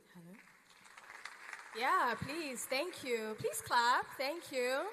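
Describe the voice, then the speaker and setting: Projecting her high voice with lively intonation, a woman speaks at a very slow pace over noticeable background noise, with audible room echo. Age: 30s. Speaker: panel moderator. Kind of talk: panel discussion moderation. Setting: stage with audience. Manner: animated.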